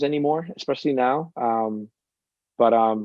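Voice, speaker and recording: The man's pitch is medium. It shifts in an ordinary way as he talks. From Boston, Dorchester. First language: Cape Verdean Creole. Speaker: company founder. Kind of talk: interview. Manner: halting.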